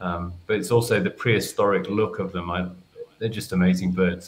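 The speaker talks at a moderate pace with a southern English accent. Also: man. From England. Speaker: nature photographer; guest. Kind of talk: casual chat. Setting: video call. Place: home room.

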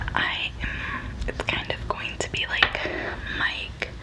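A woman speaks at a very slow pace. Noticeable background noise runs underneath. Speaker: ASMR creator. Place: home room. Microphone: studio mic.

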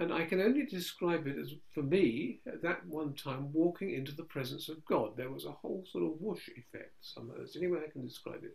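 The speaker has an English accent and a fairly quick pace with lively intonation. Vocal fry shows up, and the loudness swings widely. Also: man, fairly high pitch for a man. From England. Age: 70s. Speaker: Orthodox priest. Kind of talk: conversational Q&A with prayers. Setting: video call.

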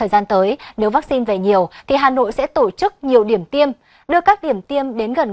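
In a normal speaking voice, a woman with a fairly high pitch speaks at a moderate pace. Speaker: news reader. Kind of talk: news reading. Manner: formal.

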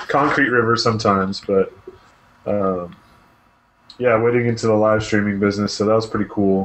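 With long, frequent pauses, a man talks in a fairly low pitch, his intonation fairly even and his loudness very even, over light background noise. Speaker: gaming podcast co-host. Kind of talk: casual chat. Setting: video call from home office. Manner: polite. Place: home room.

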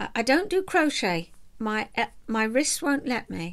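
Over a quiet background, a woman speaks at a very slow pace in a relaxed tone with a high pitch. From southeast England. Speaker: vlogger and knitter, retired counsellor. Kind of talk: casual chat to camera. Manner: chatty, relaxed. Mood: warm, chatty, smiling. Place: home room. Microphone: webcam.

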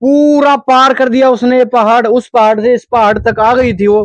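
Against a quiet background, a man with an extremely high pitch and ordinary pitch variation is recorded dry, with no echo. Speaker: travel vlogger. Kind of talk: casual vlog chat. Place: open country. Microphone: lapel.

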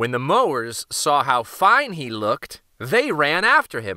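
A man speaks at a fairly high pitch and a slow pace. His tone is bright and sharp, with very wide pitch swings.

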